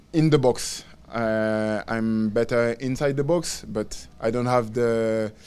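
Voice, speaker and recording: At a very slow pace, a man with a French accent speaks at a medium pitch with fairly even intonation. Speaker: professional footballer. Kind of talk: press conference. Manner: halting, many fillers and repeats.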